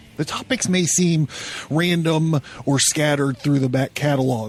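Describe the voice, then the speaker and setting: Music plays behind the speaker. He is a man whose pitch varies in an ordinary way. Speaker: podcast host. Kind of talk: podcast monologue. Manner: animated.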